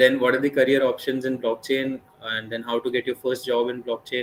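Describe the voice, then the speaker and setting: Over noticeable background noise, a man with a medium pitch speaks at a fairly quick pace. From northern India (Delhi, Mumbai). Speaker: blockchain speaker. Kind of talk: webinar lecture. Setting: online live session. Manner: fast.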